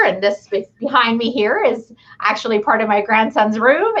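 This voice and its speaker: The speaker has an unremarkable speaking voice and talks at a moderate pace in a Canadian accent. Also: woman. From Canadian prairies (came from Chile as a child). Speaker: small business owner. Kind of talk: casual chat.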